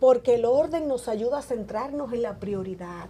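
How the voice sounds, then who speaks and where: This woman's voice sits high and her intonation is lively. She talks at a moderate speed. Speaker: evangelist preacher. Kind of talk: preaching talk in conversation. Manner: natural, conversational.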